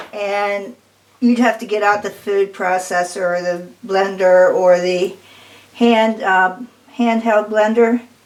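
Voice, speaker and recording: Fairly slow speech from a woman at medium pitch, fairly even in intonation, with noticeable background noise behind it. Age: 70s. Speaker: cooking channel host. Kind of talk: casual cooking tutorial. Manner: casual, conversational.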